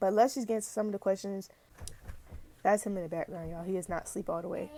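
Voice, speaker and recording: A woman at a medium pitch, talking very fast. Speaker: YouTube reaction vlogger. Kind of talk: casual vlog commentary. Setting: bedroom at home. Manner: quiet.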